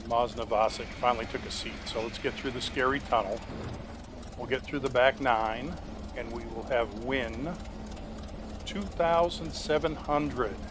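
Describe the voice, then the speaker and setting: At a moderate pace with long, frequent pauses, a man speaks in a medium pitch with ordinary pitch variation over noticeable background noise. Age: 60s. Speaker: gaming YouTuber. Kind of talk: gameplay commentary. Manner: casual, playful.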